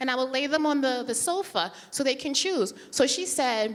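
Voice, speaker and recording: A woman talks at a very fast pace with a high pitch and lively intonation. Noticeable background noise is present. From Antigua-born, raised in US by Antiguan immigrant mother. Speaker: personal finance speaker. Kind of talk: conference talk. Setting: stage with audience.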